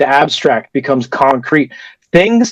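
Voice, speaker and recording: This man has a fairly high, unremarkable speaking voice. The sound is dry and close, without echo. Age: 20s. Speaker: toastmasters club speaker, carpenter. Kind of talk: prepared speech.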